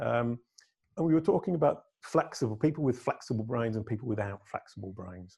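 In a British accent, a man speaks at medium pitch with a dark, mellow tone that is somewhat breathy. His pace is moderate and his intonation lively. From England. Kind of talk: casual interview chat.

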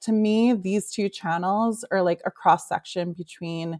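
This woman has a plain, everyday voice at medium pitch, with an American accent and fairly even intonation, speaking at a fairly slow pace. The sound is dry and close with no echo, on a very clean recording with a silent background. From New York. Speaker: marketing consultant. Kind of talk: interview.

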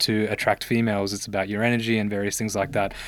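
Over a silent background in a very clean recording, a man with an Australian accent talks at a very fast pace and a fairly low pitch. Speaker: medical doctor turned healthcare investor. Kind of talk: casual interview.

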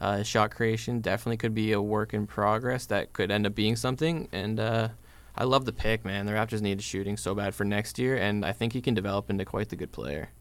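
A man's fairly low voice with vocal fry and fairly even intonation, at a very fast pace. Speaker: podcast co-host. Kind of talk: casual sports podcast chat.

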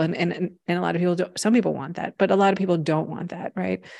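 In an unremarkable speaking voice, a woman talks at a fairly low pitch with ordinary variation, on a very clean recording with a silent background. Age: 50s. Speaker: podcast host, spiritual teacher. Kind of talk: casual conversation.

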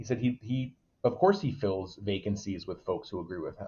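The voice belongs to a man with an American accent. It sounds somewhat breathy. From Waterbury, Connecticut. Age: 20s. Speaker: local political candidate. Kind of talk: casual interview.

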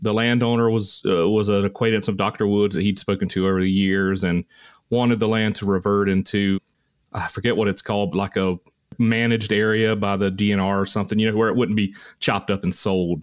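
A man with a Southern US accent speaks at a fairly quick pace in a fairly low pitch, his intonation monotone and flat and his loudness very even, on a very clean recording with a silent background. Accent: Southern US (Georgia). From US South, rural Georgia. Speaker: archaeologist, army veteran. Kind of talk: casual chat.

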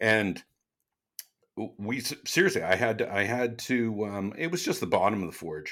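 A man with an unremarkable speaking voice, fairly low in pitch, lively in intonation, at a moderate pace, on a very clean recording with a silent background. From Canada. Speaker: knife maker, YouTuber and podcast co-host. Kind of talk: casual chat.

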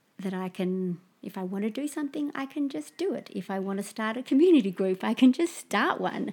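A woman's fairly high, somewhat breathy voice with very wide pitch swings, a fairly quick pace and hardly any pauses, on a very clean recording with a silent background. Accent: Australian. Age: 40s. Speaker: permaculture practitioner and artist. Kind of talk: casual chat.

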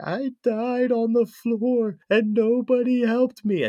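A man speaks in a put-on character voice at an extremely high pitch. His pace is fairly slow. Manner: eerie, haunting.

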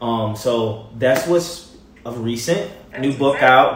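A man with an American accent and a medium-pitched voice, plus noticeable background noise and audible room echo. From Baltimore, Maryland. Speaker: TV personality and motivator. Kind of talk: casual interview chat. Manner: animated.

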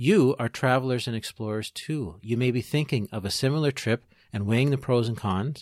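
A man with a Canadian accent talks very fast at medium pitch with ordinary pitch variation, in a very clean, dry, close recording with a silent background and no echo. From Ontario, Canada (Peterborough). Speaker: podcast host. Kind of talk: scripted narration.

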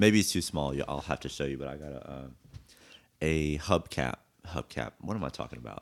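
The tone is relaxed and carries vocal fry, with a fairly quick pace and big swings in loudness. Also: man, very deep, low pitch for a man, ordinary pitch variation. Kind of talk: casual chat. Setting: studio. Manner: casual, relaxed.

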